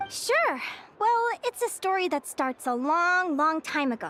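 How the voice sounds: A woman's put-on character voice, extremely high in pitch, bright and sharp in tone, with big pitch swings at a fairly slow pace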